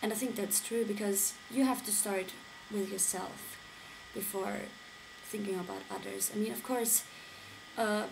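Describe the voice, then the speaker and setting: A woman at a medium pitch, fairly slow, with long, frequent pauses and noticeable background noise. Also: fairly even intonation. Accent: non-native. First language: not English. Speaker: vlogger. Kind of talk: casual talk to camera.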